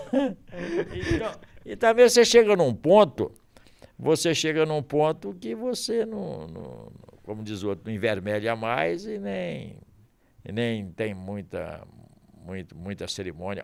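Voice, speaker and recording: The man's volume rises and falls dramatically. He talks at a very slow pace. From Minas Gerais, Brazil. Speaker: sports radio announcer. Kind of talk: interview answer. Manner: good-humored.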